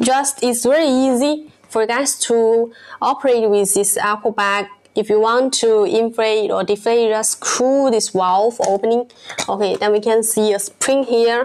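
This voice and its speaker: Her intonation fairly even, a female speaker proceeds at a fairly slow pace. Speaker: product seller. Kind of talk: product demonstration live stream. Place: studio. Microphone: phone near.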